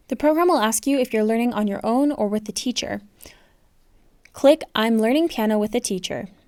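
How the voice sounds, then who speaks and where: On a very clean recording with a silent background and a dry, close sound with no echo, a woman with an ordinary speaking voice talks at a fairly high pitch with ordinary pitch variation. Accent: American. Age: 20s. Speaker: piano teacher. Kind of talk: tutorial.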